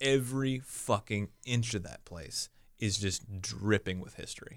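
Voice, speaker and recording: Captured in a very clean recording with a silent background, a man with an American accent uses a plain, everyday voice, pitched fairly low, with lively intonation. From US Midwest, Omaha area. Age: 20s. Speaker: comedian. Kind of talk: casual chat.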